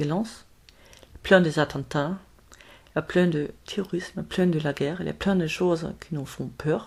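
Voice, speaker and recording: With a somewhat breathy, fairly low voice, a woman speaks at a fairly slow pace, leaving long, frequent pauses. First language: German (speaking French). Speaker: spiritual medium. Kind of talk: spiritual talk to camera. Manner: halting, many hesitations.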